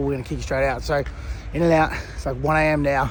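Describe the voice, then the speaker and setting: Noticeable background noise sits behind this man's voice. He speaks at a very fast pace with an Australian accent. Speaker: vlogger. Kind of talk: casual vlog narration. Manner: casual, sweary.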